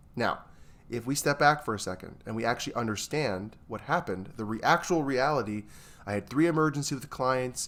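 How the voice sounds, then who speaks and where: In an unremarkable speaking voice, a man with an American accent talks at a fairly quick pace and medium pitch, his pitch varying in an ordinary way. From New York. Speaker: therapist. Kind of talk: casual chat.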